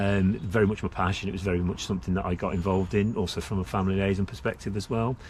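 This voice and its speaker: A man with a slight West Midlands accent, very deep and low in pitch, somewhat breathy, with fairly even intonation and a very fast pace. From Staffordshire, England. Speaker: senior police officer. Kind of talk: interview. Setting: outdoor shelter in a memorial garden. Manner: hesitant, many fillers.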